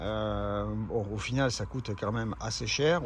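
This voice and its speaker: The voice is somewhat breathy with ordinary pitch variation. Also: man. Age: 60s. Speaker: amateur cyclist vlogger. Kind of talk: casual product presentation. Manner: hesitant, many filler sounds.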